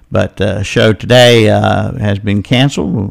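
The intonation here stays fairly even. It is a normal speaking voice. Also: man. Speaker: radio host. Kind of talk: local news reading and live call-in radio show. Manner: brisk, friendly, folksy.

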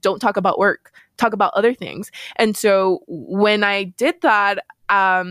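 A plain, everyday voice from a woman with an American accent, medium in pitch, with fairly even intonation and a moderate pace, dry and close with no echo on a very clean recording with a silent background. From El Paso, Texas. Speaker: engineer and program manager. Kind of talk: interview.

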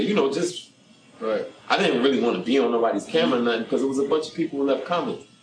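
A man's medium-pitched voice with a New York accent, music in the background. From Brooklyn, New York. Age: 40s. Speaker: guest, former prisoner. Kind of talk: testimony.

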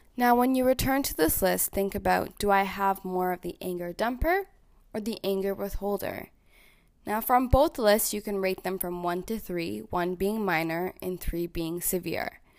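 With a Canadian accent, an unremarkable speaking voice moves at a moderate pace with ordinary pitch variation on a very clean recording with a silent background. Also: woman, medium pitch for a woman. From Ontario, Canada (small town). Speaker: podcast host, social worker. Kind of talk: self-help podcast monologue.

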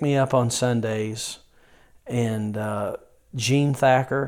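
In a Southern US accent, a man speaks at a medium pitch with fairly even intonation on a very clean recording with a silent background. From rural North Carolina (Yadkinville). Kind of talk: interview.

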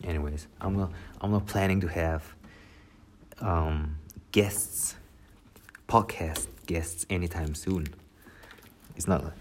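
A man speaks at a very slow pace in a very deep, low pitch, his voice somewhat breathy. His intonation stays fairly even, broken by long, frequent pauses. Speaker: solo podcaster. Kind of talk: casual monologue. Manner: rambling, hesitant.

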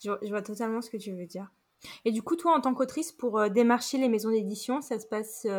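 A woman's fairly high voice at a very fast pace, with ordinary pitch variation and big swings in loudness. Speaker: podcast host and writer. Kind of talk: interview.

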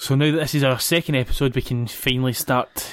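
On a very clean recording with a silent background, a man with a Scottish accent speaks at a medium pitch in a monotone, flat way. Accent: Scottish (Ayrshire). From Scotland, Ayrshire. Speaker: podcast host. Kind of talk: casual chat. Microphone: new podcast mic.

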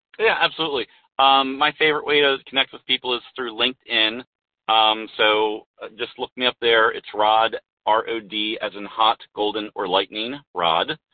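A man talks at a moderate pace with a medium pitch and ordinary pitch variation. His is an unremarkable speaking voice. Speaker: business coach and speaker. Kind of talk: casual interview chat.

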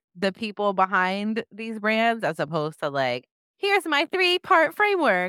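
With a bright, sharp tone at a medium pitch, a woman is heard on a very clean recording with a silent background. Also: dry, close sound with no echo. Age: 30s. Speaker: podcast host, brand strategist. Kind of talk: casual chat.

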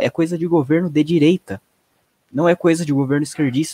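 A man's fairly high voice with a dark, mellow tone moves at a fairly quick pace, the sound dry and close with no echo. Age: 20s. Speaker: political commentator. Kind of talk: casual political discussion on a livestream. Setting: live video stream.

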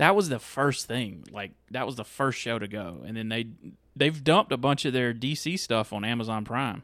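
At a moderate pace and medium pitch, a man talks in a normal speaking voice with ordinary pitch variation on a very clean recording with a silent background. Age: 30s. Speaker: movie podcast host. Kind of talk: casual chat.

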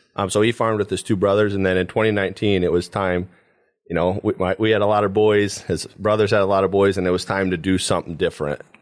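Talking very fast, a man uses a fairly low pitch and a monotone, flat intonation with a Midwestern American accent. The recording is very clean, with a silent background. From Paulding County, northwest Ohio. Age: 20s. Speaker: dairy farm manager. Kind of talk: interview.

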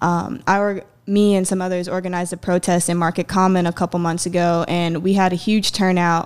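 A woman's normal speaking voice at medium pitch and moderate pace, with an American accent, on a very clean recording with a silent background. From US South, South Carolina (Myrtle Beach). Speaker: activist. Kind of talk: interview.

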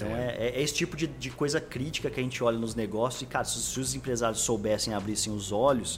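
With music in the background, a man speaks at a very fast pace and a medium pitch, using ordinary pitch variation. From Brazil, Franca (São Paulo state interior). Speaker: growth marketing executive. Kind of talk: casual interview chat.

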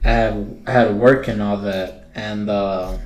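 A man's fairly low voice at a very slow pace, with audible room echo and music in the background. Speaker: podcast host. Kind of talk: casual chat. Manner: stuttering.

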